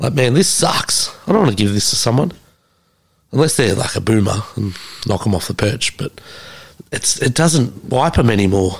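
A man with an Australian accent and a medium pitch speaks at a moderate pace, with lively intonation and long, frequent pauses. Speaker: podcast host. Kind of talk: casual chat. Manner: animated.

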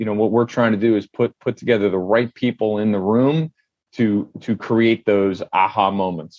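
A man's unremarkable speaking voice at medium pitch and a moderate pace, with a dry, close sound and no echo. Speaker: home builder company owner. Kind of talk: interview podcast.

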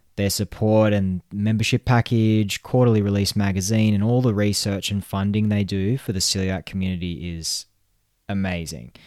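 A man with an Australian accent, fairly low pitch, ordinary pitch variation and a moderate pace. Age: 30s. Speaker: podcast host. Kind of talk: solo podcast monologue.

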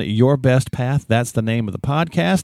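Speaking at a fairly quick pace, a man uses lively intonation. He has an ordinary speaking voice, and the recording is very clean with a silent background. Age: 50s. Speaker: podcast co-host. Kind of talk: casual chat.

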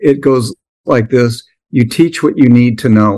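A man speaks with an American accent at a medium pitch and ordinary pitch variation. It is a normal speaking voice. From US Midwest. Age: 60s. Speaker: SaaS entrepreneur and business coach. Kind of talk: interview.

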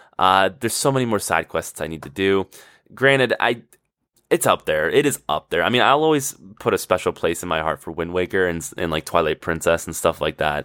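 Bright and sharp in tone, a man speaks excitedly at a fairly quick pace. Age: 20s. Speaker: podcast host. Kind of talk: casual solo monologue. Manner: excited, with frequent laughter; halting, with repeated words and fillers.

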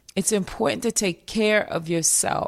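Over a silent background in a very clean recording, a woman with vocal fry talks at a moderate pace in an animated, upbeat tone with ordinary pitch variation. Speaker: podcast host and therapist. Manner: animated, upbeat, enthusiastic.

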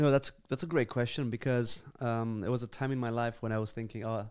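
In a very clean recording with a silent background, a man with a Romanian accent talks at a fairly quick pace with fairly even intonation. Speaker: church planter, youth leader. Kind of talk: casual chat.

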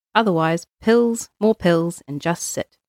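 In a New Zealand accent, a woman of medium pitch speaks with lively intonation, the sound dry and close with no echo. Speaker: librarian. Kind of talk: reading aloud.

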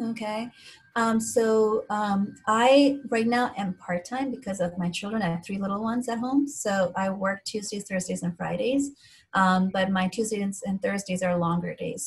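Somewhat breathy, a woman speaks at a fairly slow pace. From India, moved to Philadelphia at 11. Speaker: physician. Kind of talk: interview.

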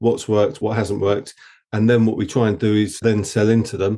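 A man with an Essex accent speaks in a dark, mellow tone against a quiet background. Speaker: agency founder. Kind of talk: interview conversation.

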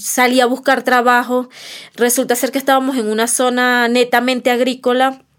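A woman talks at a moderate pace with a Venezuelan accent. Her high voice stays monotone and flat. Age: 30s. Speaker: migrant mother. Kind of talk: testimony.

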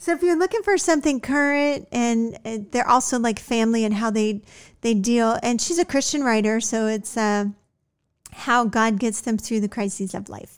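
This woman has an ordinary speaking voice, fairly high in pitch. She talks at a moderate pace with ordinary pitch variation. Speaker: podcast host. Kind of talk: casual chat.

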